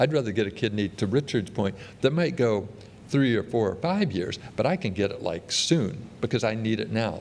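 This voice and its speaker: With lively intonation and a fairly quick pace, a man uses an ordinary speaking voice pitched fairly low. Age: 60s. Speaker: transplant surgeon. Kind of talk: conference talk.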